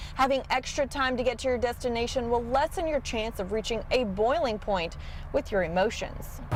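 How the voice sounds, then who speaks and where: A woman with an American accent and a high pitch speaks at a moderate pace with ordinary pitch variation over noticeable background noise. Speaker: television reporter and anchor. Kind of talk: news package voiceover narration.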